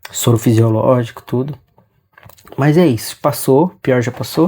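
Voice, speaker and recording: A man speaks very slowly, his pitch varying in an ordinary way. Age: 30s. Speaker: vlogger. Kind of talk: personal vlog. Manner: halting.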